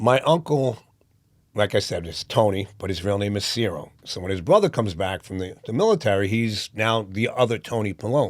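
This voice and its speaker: A man with a New York accent and fairly low pitch, ordinary pitch variation, a fairly quick pace, and a very clean recording with a silent background. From New York (Brooklyn, Yonkers). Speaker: boxing promoter, playwright, former corrections officer. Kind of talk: interview answer.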